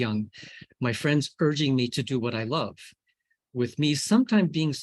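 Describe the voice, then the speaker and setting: A man's unremarkable speaking voice, medium in pitch, with an American accent, a fairly quick pace and ordinary pitch variation. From US. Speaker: scientist. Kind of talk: lecture. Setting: video call.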